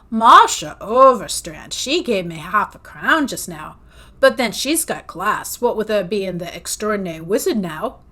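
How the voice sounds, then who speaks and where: On a very clean recording with a silent background, a woman puts on a gruff character voice at a fairly high pitch, with very wide pitch swings and a moderate pace. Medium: read story.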